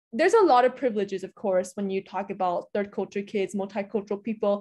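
A dark, mellow tone with ordinary pitch variation comes through against a quiet background. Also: woman. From Hungary, Budapest, international school. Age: young. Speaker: intercultural trainer and podcaster. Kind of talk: interview.

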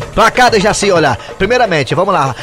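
Over noticeable background noise, a man talks at a fairly quick pace with lively intonation. His pitch is high. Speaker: radio host. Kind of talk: sports segment on radio; comedic radio show banter. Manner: animated.

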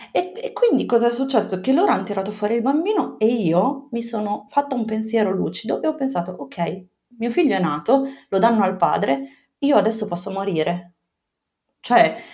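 A woman speaks with a fairly high pitch and lively intonation. Her voice is somewhat breathy, with a dark, mellow tone. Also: moderate pace. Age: 30s. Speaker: mother sharing birth story. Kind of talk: testimony. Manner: halting.

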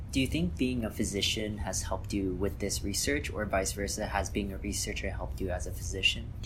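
A man talks fairly quickly with hardly any pauses, using a plain, everyday voice at a fairly low pitch and lively intonation. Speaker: podcast interviewer. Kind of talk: interview.

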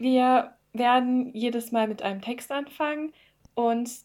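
A woman's plain, everyday voice, fairly high in pitch with fairly even intonation, on a very clean recording with a silent background. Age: 20s. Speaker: podcast host, psychology student and poet. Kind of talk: casual chat; scripted narration.

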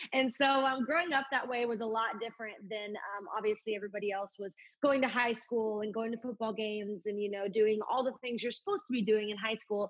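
A woman with an American accent speaks in a plain, everyday voice at a fairly quick pace with hardly any pauses. Her intonation stays fairly even. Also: fairly high pitch for a woman. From Oklahoma. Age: 20s. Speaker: country singer. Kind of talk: casual interview.

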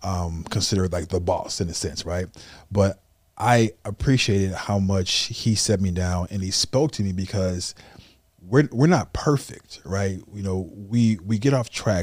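A man talks at a fairly slow pace, with fairly low pitch and ordinary pitch variation. An ordinary speaking voice, in a very clean recording with a silent background. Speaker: podcast host. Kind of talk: casual interview.

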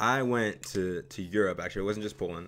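The recording is very clean, with a silent background. A man speaks fairly quickly at a fairly low pitch, with ordinary pitch variation. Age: 20s. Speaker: podcast co-host. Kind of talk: casual chat. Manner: loud.

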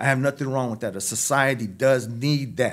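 His intonation holds fairly even. The man's pitch sits in the medium range. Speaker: former prisoner and reentry program director. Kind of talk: casual interview chat. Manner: halting.

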